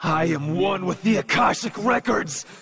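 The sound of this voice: A put-on character voice with a fairly bright tone, vocal fry and a slightly husky edge, ordinary pitch variation, moderate pace. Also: man, high pitch for a man.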